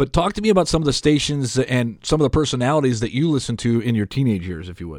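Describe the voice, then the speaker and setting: A man with an American accent talks at a very fast pace with hardly any pauses, his medium pitch swinging very widely and his loudness rising and falling sharply, on a very clean recording with a silent background. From Detroit, Michigan. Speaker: podcast host. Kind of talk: interview.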